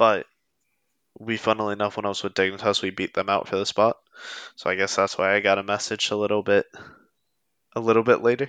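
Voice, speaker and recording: A man's fairly low voice in a Pennsylvania accent, very fast yet broken by long, frequent pauses, monotone and flat, in a dry, close sound with no echo and a quiet background. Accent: Pennsylvania American. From US, Pennsylvania. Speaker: esports coach. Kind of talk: casual interview chat.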